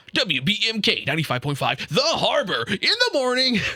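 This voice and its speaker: A put-on character voice, fairly high in pitch, delivered at a moderate pace. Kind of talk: radio announcer. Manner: smooth, polished, upbeat, station-ID style.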